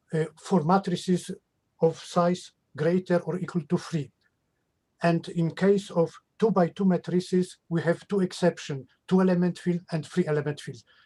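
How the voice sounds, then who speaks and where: The speaker has a Polish accent and a dark, mellow tone. Delivery is at a moderate pace with monotone, flat intonation. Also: man, high pitch for a man. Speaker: mathematician. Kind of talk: academic Q&A. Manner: halting.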